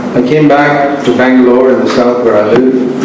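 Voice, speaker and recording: Strong room echo surrounds a man at medium pitch. Noticeable background noise is also present. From India. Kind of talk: sermon. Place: hall.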